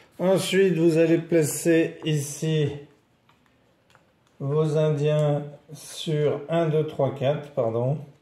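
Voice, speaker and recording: A man speaks very slowly in a fairly high, somewhat breathy voice with a dark, mellow tone. His intonation is monotone and flat, with long, frequent pauses and audible room echo. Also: very even loudness. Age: 60s. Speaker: board game presenter. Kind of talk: tutorial. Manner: casual explanatory.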